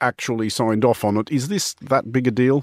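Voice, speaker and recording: An unremarkable speaking voice, a man's, medium-pitched and moderately paced. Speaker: radio host. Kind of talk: news discussion show. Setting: studio.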